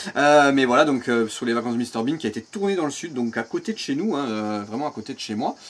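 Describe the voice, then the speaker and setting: The man's intonation is lively. He talks at a very fast pace, leaving hardly any pauses. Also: medium pitch for a man. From Provence, southern France. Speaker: amateur voice actor and YouTuber. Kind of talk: interview. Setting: outdoors with cicadas. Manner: hesitant, many fillers.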